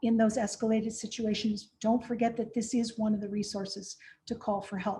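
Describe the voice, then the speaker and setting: Her voice is dark, mellow and somewhat breathy, fairly high in pitch, flat and monotone in intonation, and delivered at a moderate pace by a woman. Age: 60s. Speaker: de-escalation trainer. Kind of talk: virtual training presentation.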